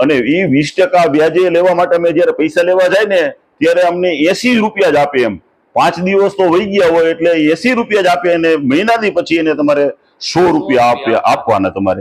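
His pitch is high for a man, with ordinary pitch variation and very even loudness throughout. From Gujarat, Saurashtra (Dhrangadhra, raised in Wankaner). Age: 60s. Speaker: wildlife and culture photographer. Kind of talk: interview, life story.

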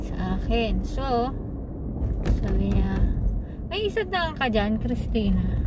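Over loud background noise, a woman talks at a fairly slow pace in a dry sound with no echo. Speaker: driver vlogger. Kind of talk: casual vlog chat. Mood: playful, joking. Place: car.

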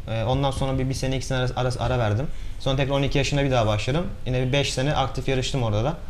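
A man at a very fast pace, fairly even in intonation, over light background noise. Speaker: rally driver. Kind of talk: interview. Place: studio.

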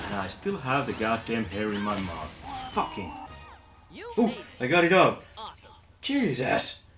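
A man talks while clear music sounds behind him. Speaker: streamer playing fitness game. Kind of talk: excited gameplay commentary.

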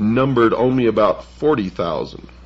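A man speaks with vocal fry. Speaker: radio show host. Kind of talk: reading a historical text aloud on radio.

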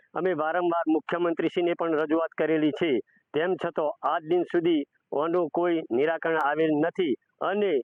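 This man speaks in a high voice with flat, monotone intonation. His loudness stays very even throughout. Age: 60s. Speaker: villager. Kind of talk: street interview.

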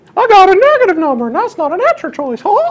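In a put-on character voice, the speaker squeaks at an extremely high pitch with very wide pitch swings and a very fast pace.

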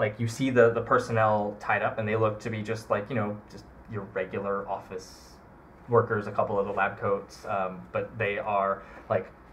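With audible room echo, a man speaks at a moderate pace, his fairly low voice carrying a fairly bright tone and little pitch movement.

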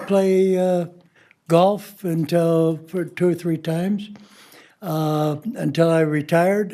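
At a very slow pace, a man speaks with a high pitch, a dark, mellow tone and fairly even intonation. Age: 80s+. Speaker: public commenter, retiree. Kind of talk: public comment at meeting. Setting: podium at board meeting. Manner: halting, many fillers.

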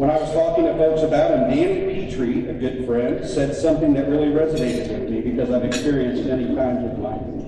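A man with fairly high pitch speaks at a very fast pace with hardly any pauses and ordinary pitch variation. Strong room echo and noticeable background noise surround him. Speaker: event emcee. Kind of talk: awards presentation speech. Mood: warm, admiring. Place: hall. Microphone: podium.

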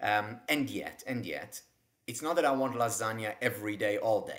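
Moderate-paced speech from a man, its pitch varying in an ordinary way, with a quiet background. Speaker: guest. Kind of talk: interview answer. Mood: warm, smiling. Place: home room. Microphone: webcam.

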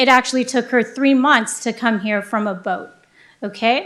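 A woman with a high pitch talks at a moderate pace, her intonation fairly even. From US, born to immigrant family. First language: grandmother's original dialect. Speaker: city councilmember. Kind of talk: council meeting remarks, personal story. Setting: city council meeting.

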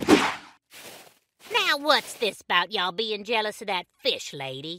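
A put-on character voice speaks at a fairly high pitch with very wide pitch swings. The pace is fairly slow. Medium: audio drama. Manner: brash, bossy.

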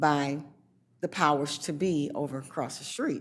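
At a very slow pace, a woman with an American accent speaks with ordinary pitch variation. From Flint, Michigan. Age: 70s. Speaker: senior citizen, public commenter. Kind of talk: public comment at a county board meeting. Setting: public meeting.

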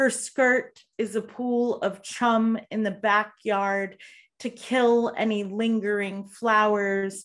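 Against a quiet background, a woman talks at a very slow pace. Her intonation is monotone and flat. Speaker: poet. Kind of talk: poetry reading. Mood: grave, measured. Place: home room. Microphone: video call.

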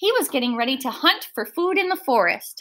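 At a fairly quick pace, a woman speaks with high pitch, big pitch swings and a fairly bright tone.

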